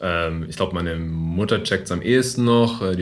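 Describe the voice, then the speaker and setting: Moderate pace, with audible room echo. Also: man. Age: 30s. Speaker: podcast host. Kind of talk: casual chat. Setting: meeting room in coworking space. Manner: deeper podcast voice.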